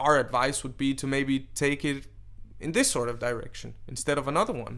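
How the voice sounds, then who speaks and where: A man speaks with a Danish accent at a fairly high pitch. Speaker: DJ and event organizer. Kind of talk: interview.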